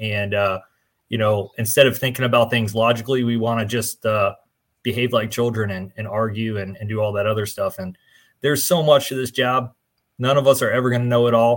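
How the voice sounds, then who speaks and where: A man with a plain, everyday voice and an American accent, medium in pitch, talking at a fairly quick pace with fairly even intonation over a very clean, silent background. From New Jersey, US. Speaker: podcast co-host and fire instructor. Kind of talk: casual chat.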